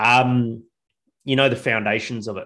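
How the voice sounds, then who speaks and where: Speaking at a moderate pace with a medium pitch, a man with an Australian accent has a bright, sharp tone over a quiet background. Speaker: craft beer podcast co-host, business owner. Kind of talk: casual chat. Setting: video call.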